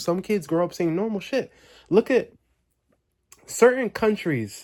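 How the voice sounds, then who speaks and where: An animated, high-pitched male voice with very wide pitch swings, a fairly slow pace and long, frequent pauses, in a very clean recording with a silent background. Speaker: vlogger. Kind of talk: late-night monologue vlog. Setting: home basement. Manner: repetitive, halting.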